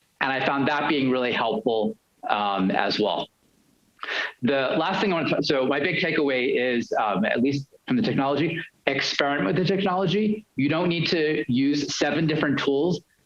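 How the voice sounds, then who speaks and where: A man speaks with lively intonation at a fairly high pitch. His loudness stays very even throughout. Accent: New York. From New York. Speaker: university lecturer. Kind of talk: panel discussion. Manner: fast.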